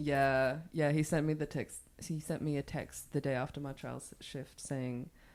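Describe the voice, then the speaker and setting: With a southern Swedish accent, a woman talks at a moderate pace in a very deep, low voice and a monotone, flat intonation. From southern Sweden. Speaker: podcast guest. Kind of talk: casual chat.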